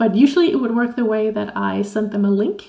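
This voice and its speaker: There is noticeable background noise as a woman speaks at a medium pitch with a Danish accent. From Denmark. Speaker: Danish language teacher. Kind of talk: interview.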